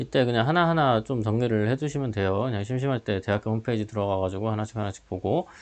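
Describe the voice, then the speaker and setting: A man talks very fast with hardly any pauses, keeping a medium pitch and ordinary pitch variation. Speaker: high school teacher. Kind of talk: online class lecture.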